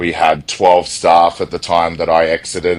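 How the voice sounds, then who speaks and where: A man speaks with an Australian accent in a very deep, low voice. His pace is moderate. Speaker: e-commerce software executive. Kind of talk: interview.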